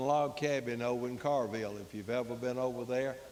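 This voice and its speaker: Audible room echo surrounds a man speaking with an Alabama accent. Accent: Southern US (Alabama). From Tallassee, Alabama (US South). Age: 80s+. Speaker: elderly local resident. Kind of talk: audience comment.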